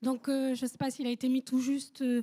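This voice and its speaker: This is a woman with a high-pitched voice. The sound is dry and close, with no echo. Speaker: audience member, geographer and activist. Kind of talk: audience question.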